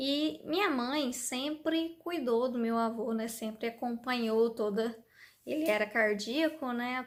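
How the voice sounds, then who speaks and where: Heard in a very clean recording with a silent background, a woman speaks at a fairly slow pace in a high pitch with ordinary pitch variation. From interior São Paulo state (Bauru). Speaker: vlogger, mother of three. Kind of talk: personal life story, casual vlog. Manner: conversational, frequent 'né' tags.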